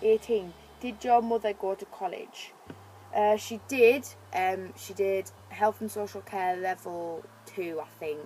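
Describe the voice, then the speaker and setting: A woman with a British accent speaks at a medium pitch and a fairly slow pace. Her loudness swings widely while her pitch varies in an ordinary way. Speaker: beauty vlogger. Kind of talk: casual chat. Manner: casual, filler-heavy with ums and likes.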